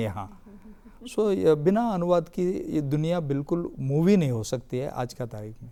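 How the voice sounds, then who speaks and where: At a moderate pace, a man with a Telangana accent speaks in a high pitch with a dark, mellow tone. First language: Telugu (speaking Hindi). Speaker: literary academy official. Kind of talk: TV panel discussion. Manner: halting.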